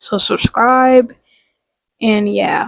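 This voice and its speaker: A woman's fairly high voice comes through in a dry, close sound with no echo. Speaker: small video blogger. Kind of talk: casual vlog monologue. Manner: slow.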